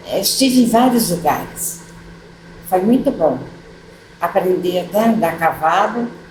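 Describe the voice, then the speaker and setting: A woman speaks at a very slow pace with ordinary pitch variation. Room echo is audible, and there is noticeable background noise. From São Paulo state, Brazil (Tatuí). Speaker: retired teacher, widow of former mayor. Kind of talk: oral history interview. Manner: halting, many fillers.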